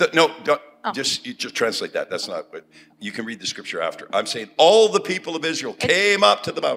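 Loudness rises and falls sharply as a man talks at a moderate pace. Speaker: preacher. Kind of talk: sermon. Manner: speaks in short phrases for interpreter.

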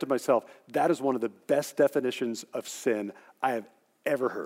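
Recorded with a dry, close sound and no echo, a normal speaking voice moves at a fairly quick pace. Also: man. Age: 50s. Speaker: pastor. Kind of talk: sermon.

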